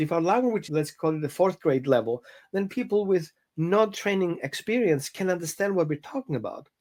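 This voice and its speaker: Lively intonation marks this speaker with a non-native accent, talking at a moderate pace. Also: man. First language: not English. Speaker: dog trainer. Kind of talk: interview conversation. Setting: podcast. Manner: halting.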